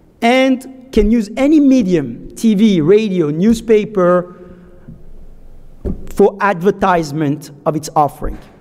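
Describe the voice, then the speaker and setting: Lively in intonation, a man with a French accent speaks at a high pitch and a fairly slow pace. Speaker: securities lawyer, conference speaker. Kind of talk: conference talk. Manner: halting.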